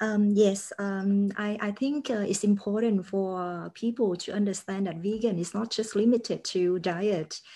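Somewhat breathy and dark, mellow in tone, a woman speaks at medium pitch with a Vietnamese accent and fairly even intonation. Her pace is fairly slow, and the background is quiet. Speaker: podcast host. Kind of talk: interview. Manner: halting.

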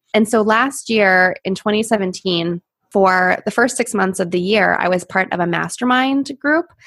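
With an American accent, a woman speaks at a fairly slow pace in a normal speaking voice. Her pitch is medium with ordinary variation, on a very clean recording with a silent background. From Pittsburgh, US. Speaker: social media consultant. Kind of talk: interview.

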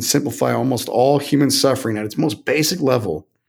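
A man with an American accent, ordinary pitch variation, a moderate pace and vocal fry. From Texas. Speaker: tech company founder and CEO. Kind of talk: interview. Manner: halting.

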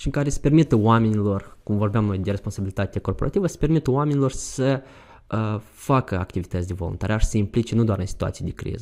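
A man speaks in a dark, mellow tone. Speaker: youth volunteer. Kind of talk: interview. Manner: halting.

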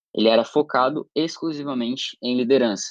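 With a plain, everyday voice, a man speaks at a moderate pace and ordinary pitch variation, against a quiet background in a dry, close sound with no echo. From Brazil, Santa Catarina (Criciúma). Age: 18. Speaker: student, summer program participant. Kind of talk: interview.

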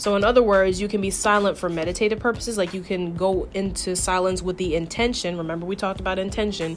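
Speaking at a very fast pace with hardly any pauses, a woman keeps a medium pitch and fairly even intonation. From New York. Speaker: podcast host. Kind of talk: casual monologue. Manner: conversational.

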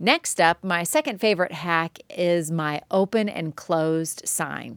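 A woman's medium-pitched voice with lively intonation and an animated tone, dry and close with no echo, on a very clean recording with a silent background. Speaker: art teacher podcaster. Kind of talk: solo podcast monologue. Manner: loud.

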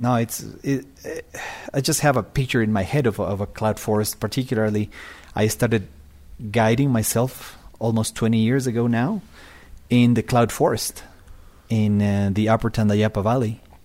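With a Spanish accent, a man speaks in a medium pitch at a moderate pace with fairly even intonation, very even loudness and long, frequent pauses, on a very clean recording with a silent background. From Ecuador, Quito. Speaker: bird tour guide. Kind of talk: casual chat.

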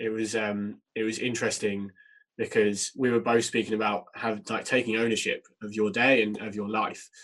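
This man talks at a moderate pace in a fairly low, fairly bright voice with little pitch movement.

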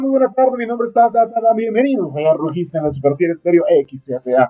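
The man's pitch rises and falls very widely. He speaks fairly quickly. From Mexico, Puebla. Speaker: radio announcer. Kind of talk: interview. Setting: radio studio.

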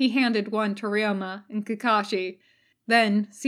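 The background stays quiet. The speaker is reading aloud in a natural voice, intonation fairly even.

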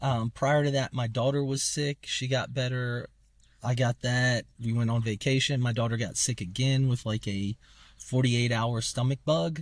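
On a very clean recording with a silent background, a man speaks at a medium pitch and moderate pace, somewhat breathy, with fairly even intonation. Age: 30s. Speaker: podcast co-host. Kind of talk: casual chat. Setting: in a car.

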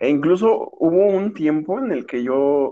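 A man speaks with a Mexican accent. His pitch variation is ordinary. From Mexico. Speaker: podcast co-host, business graduate. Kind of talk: casual chat.

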